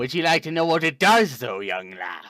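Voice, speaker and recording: A man puts on a character voice, pitched fairly high. His pitch swings very widely. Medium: actual play. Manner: salesman patter, grandiose.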